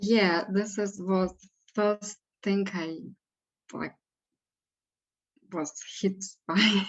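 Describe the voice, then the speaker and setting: A woman with a non-native accent speaks at a very slow pace and medium pitch, with long, frequent pauses, monotone, flat intonation and big swings in loudness. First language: not English. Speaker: spiritual session participant. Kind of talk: spiritual guidance dialogue. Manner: halting, hesitant.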